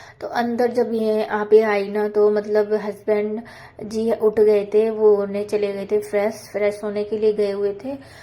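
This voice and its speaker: A woman's fairly high voice carries monotone, flat intonation. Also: fairly slow pace. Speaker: homemaker vlogger. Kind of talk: cooking and household vlog voiceover. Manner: casual, conversational.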